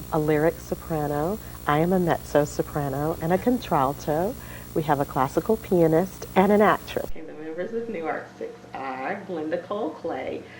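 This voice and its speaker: A woman's very deep, low voice with an American accent, ordinary pitch variation and big swings in loudness, plus noticeable background noise. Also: moderate pace. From Jacksonville, Florida. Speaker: singer. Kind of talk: interview. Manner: hesitant.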